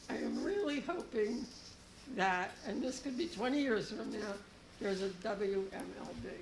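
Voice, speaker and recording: Over noticeable background noise and audible room echo, a woman talks in a fairly high pitch. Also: lively intonation, moderate pace. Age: 70s. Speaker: member of the public. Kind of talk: public comment. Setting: board meeting.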